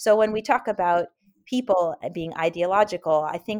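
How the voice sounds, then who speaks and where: Over a quiet background, a normal speaking voice with an American accent moves at a fairly quick pace with ordinary pitch variation. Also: woman. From US West Coast (Oakland, California). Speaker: historian. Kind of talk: interview.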